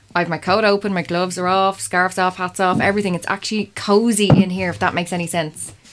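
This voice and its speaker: A woman at a very fast pace with hardly any pauses, in a monotone, flat intonation, over noticeable background noise. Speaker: participant in the castle investigation. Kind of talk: casual chat, describing sensations. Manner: nervous, laughing. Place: hall.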